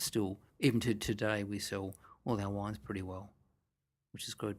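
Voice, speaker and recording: A soft-spoken man talks at a moderate pace with fairly even intonation on a very clean recording with a silent background. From Australia. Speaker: winemaker. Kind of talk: interview answer.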